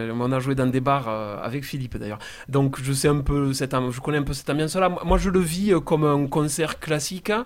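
This man's voice sits fairly high, with ordinary pitch variation and a fairly quick pace. Background noise is noticeable. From southern France, Castres (Tarn). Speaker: singer-songwriter in a band. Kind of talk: casual radio interview.

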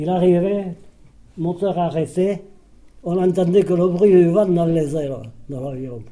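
This man's voice sits high for a man, with a dark, mellow tone, ordinary pitch variation, a fairly slow pace and long, frequent pauses. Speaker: war veteran, former resistance fighter. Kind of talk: testimony.

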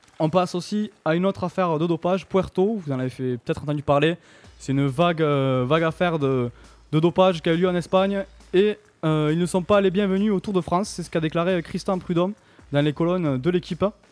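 Over music in the background, a man with a high pitch speaks at a fairly quick pace in an upbeat tone, with ordinary pitch variation. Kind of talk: live radio sports show host patter, briskly reading scores and news. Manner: brisk, upbeat, businesslike delivery.

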